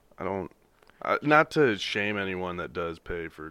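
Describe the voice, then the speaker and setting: A man with an American accent, a bright, sharp tone, vocal fry and a fairly slow pace, on a very clean recording with a silent background. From US Midwest. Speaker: pro football player and stand-up comedian. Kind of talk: casual chat.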